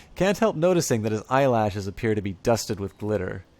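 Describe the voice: Intonation is lively in this plain reading aloud.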